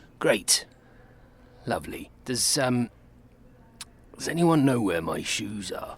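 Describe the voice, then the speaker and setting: A raspy, put-on character voice from a man at a medium pitch, with lively intonation, a fairly slow pace, and long, frequent pauses. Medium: audio drama. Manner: halting, mumbling.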